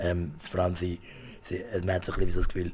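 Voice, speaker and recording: A man talks in a very deep, low voice. His delivery is somewhat breathy. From Switzerland, Zurich. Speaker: stand-up comedian. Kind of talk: radio interview. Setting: studio. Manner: halting.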